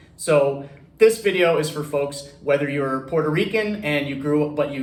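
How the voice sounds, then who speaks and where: There is audible room echo and noticeable background noise as a man talks at a fairly high pitch with ordinary pitch variation. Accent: Florida. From US, Central Florida east coast. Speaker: real estate loan advisor and video host. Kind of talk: casual explainer video. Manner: many fillers and repeated words.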